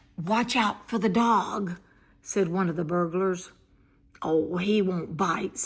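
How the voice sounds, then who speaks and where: A woman speaks in a put-on character voice, raspy and fairly slow. Her loudness stays very even, and her intonation is fairly even. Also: medium pitch for a woman. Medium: read story.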